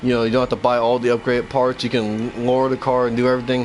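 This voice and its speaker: Noticeable background noise runs through the clip. A man talks at a very fast pace. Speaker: game streamer. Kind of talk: gameplay livestream commentary. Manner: casual, rambling; stuttering.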